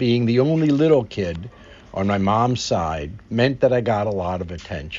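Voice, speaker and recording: With an American accent, a man speaks at a fairly low pitch, his voice moving through very wide pitch swings. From Philadelphia. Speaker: family historian narrating his own video. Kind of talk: scripted narration of a personal memoir.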